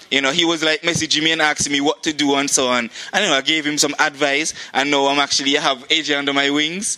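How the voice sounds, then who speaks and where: A man's very fast, flat monotone in a Montserratian accent, with hardly any pauses, very even loudness and noticeable background noise. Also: fairly high pitch for a man. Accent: Montserratian Caribbean English. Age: 20s. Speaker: track athlete and club president. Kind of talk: interview. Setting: outdoors.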